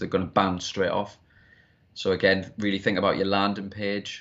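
A man with a Geordie accent speaks at a fairly low pitch. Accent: Geordie, northern English. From Newcastle, northern England. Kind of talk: casual interview chat.

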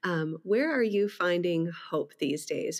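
In a very clean recording with a silent background, a woman with an American accent has an unremarkable speaking voice, speaking at a fairly slow pace with a medium pitch and lively intonation. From Wisconsin. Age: 40s. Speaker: podcast host and pastor. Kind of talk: casual interview.

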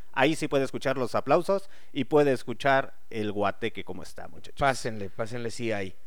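A man with a plain, everyday voice, a fairly quick pace and ordinary pitch variation. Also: medium pitch for a man, hardly any pauses. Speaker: radio host. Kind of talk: casual chat. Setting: studio.

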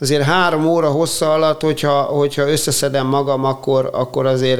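Fairly quick pace and fairly even intonation, with noticeable background noise. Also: man. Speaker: paediatric surgeon and triathlete. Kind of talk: interview.

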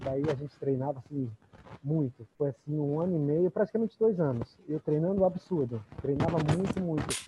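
Over noticeable background noise, a man with a fairly high voice speaks at a moderate pace with ordinary pitch variation, the sound dry and close with no echo. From interior of São Paulo state, Brazil. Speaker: triathlon coach, former professional triathlete. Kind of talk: interview.

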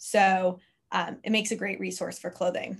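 Somewhat breathy delivery at a moderate pace. The recording is very clean, with a silent background. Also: woman. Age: 20s. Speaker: brand manager. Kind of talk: interview.

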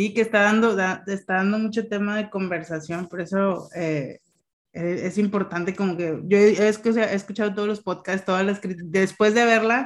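An unremarkable speaking voice at a moderate pace, fairly even in intonation, over a quiet background. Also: woman. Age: 30s. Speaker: podcast host. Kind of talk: casual chat.

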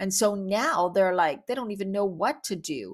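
An unremarkable speaking voice talks at a moderate pace in a very clean recording with a silent background. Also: woman. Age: 50s. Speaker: podcast host. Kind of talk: solo monologue. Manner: casual, chatty with laughs.

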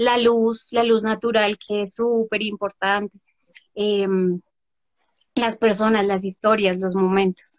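In a dry, close sound with no echo, a woman speaks at a fairly high pitch with monotone, flat intonation, a very slow pace, and long, frequent pauses. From Bogotá, Colombia. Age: 30s. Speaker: photographer. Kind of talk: interview.

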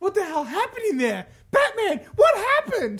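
This put-on character voice sits at an extremely high pitch. It moves at a moderate pace. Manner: urgent, demanding.

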